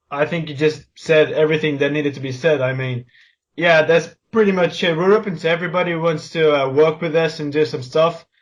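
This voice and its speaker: A man with a Portuguese accent, fairly high-pitched, at a fairly quick pace with fairly even intonation. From Portugal. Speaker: podcast co-host, video creator. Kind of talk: casual chat.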